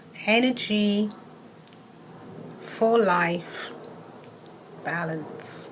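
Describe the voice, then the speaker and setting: A woman is speaking here. The recording has noticeable background noise and audible room echo. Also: medium pitch for a woman, ordinary pitch variation. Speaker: wellness coach. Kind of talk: casual talk to camera; guided meditation. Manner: soft-spoken.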